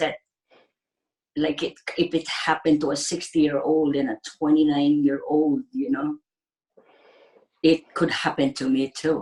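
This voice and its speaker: With a Filipino accent, a woman speaks at a moderate pace in a very deep, low pitch. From Philippines. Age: 60s. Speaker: ICU nurse. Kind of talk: interview. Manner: halting.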